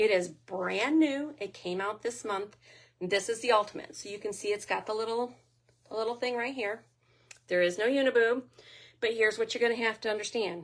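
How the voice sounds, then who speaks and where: A woman talks at a fairly quick pace in a normal speaking voice. Her pitch is fairly high, with ordinary pitch variation. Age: 60s. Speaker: lingerie sales consultant. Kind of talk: product demonstration. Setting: private party, streamed live with comments. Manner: casual, chatty.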